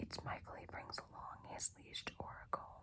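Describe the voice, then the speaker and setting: Whispering in a relaxed tone, a woman speaks at a moderate pace. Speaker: ASMR creator. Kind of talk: book reading, fiction narration. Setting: lo-fi recording without a proper microphone. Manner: soft, relaxed, whispery.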